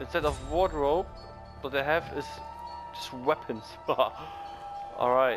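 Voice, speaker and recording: Music plays in the background as the voice moves at a very slow pace with long, frequent pauses. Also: man. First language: non-native English speaker. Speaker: let's play gamer. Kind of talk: casual gameplay commentary.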